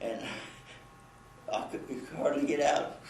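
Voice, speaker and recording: A man with an American accent talks while noticeable background noise runs underneath. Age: 80s+. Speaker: war veteran. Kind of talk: interview answer.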